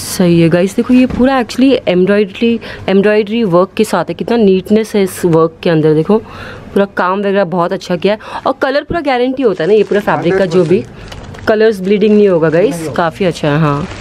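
Light background noise sits behind a woman speaking at a moderate pace with ordinary pitch variation. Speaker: shopping vlogger. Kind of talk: casual vlog chat. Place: shop. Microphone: phone near.

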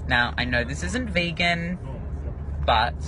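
A man talks at a fairly slow pace, the sound dry with no echo but carrying noticeable background noise. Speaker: vlogger. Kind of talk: casual vlog chat. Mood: cheerful, playful. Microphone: phone near.

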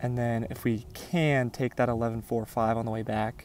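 The recording is dry, without any echo. It's a man doing the talking. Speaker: gaming creator. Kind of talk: gameplay commentary. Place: open country.

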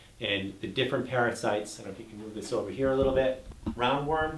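Audible room echo and light background noise surround a man whose intonation is fairly even. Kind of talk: informational talk to camera. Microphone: camera far.

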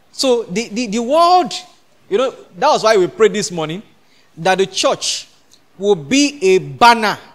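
A man is speaking. His pace is moderate. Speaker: preacher. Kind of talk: sermon. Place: church. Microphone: handheld.

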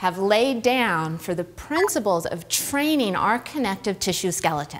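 With music in the background, a woman speaks with very wide pitch swings. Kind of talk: educational talk to camera. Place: gym.

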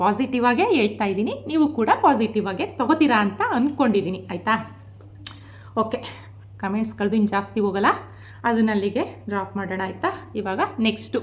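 A woman with a fairly high voice and ordinary pitch variation talks while noticeable noise sounds behind her. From rural Mysore region, Karnataka. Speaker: vlogger. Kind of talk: vlog monologue. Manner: animated.

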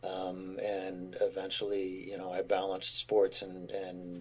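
A man with a very deep, low, somewhat breathy voice speaks at a very slow pace. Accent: American. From Pennsylvania, west of Philadelphia (military childhood). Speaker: actor. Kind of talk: casual chat.

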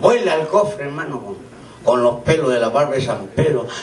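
A man, with light background noise and audible room echo. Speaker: comedian entertainer. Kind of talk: stand-up joke telling. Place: hall. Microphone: camera far.

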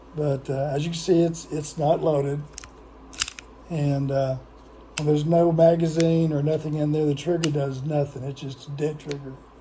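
Over noticeable background noise and audible room echo, a man speaks at a moderate pace. His pitch is fairly high and his intonation is monotone and flat. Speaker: gun review youtuber. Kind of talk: casual product demo. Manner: halting, many fillers.

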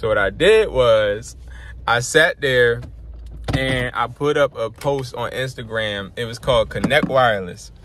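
A man speaks at a fairly slow pace with noticeable background noise and a dry sound with no echo. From New Jersey. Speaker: online business coach; business coach. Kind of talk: casual vlog monologue. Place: car. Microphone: phone near.

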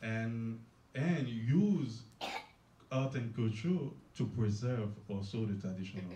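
A man speaks very slowly in a dark, mellow, somewhat breathy tone, with ordinary pitch variation. Long, frequent pauses break up his speech, and room echo is audible. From Haiti. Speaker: cultural festival organizer. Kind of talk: panel discussion. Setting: stage with audience. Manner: halting. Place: hall. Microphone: camera far.

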